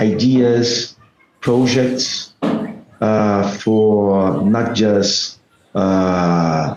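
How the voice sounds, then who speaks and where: Ordinary pitch variation in a man's voice set at a fairly low pitch. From Brazil. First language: Portuguese. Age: 50s. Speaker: salesman. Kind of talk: video call conversation. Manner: halting.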